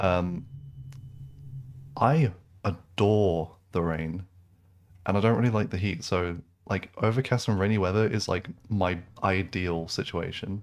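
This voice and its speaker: Slow-paced with a British accent, a man speaks in a very deep, low pitch with ordinary pitch variation in a very clean recording with a silent background. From England. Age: 20s. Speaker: gaming streamer. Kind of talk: casual chat. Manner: casual, many fillers and restarts.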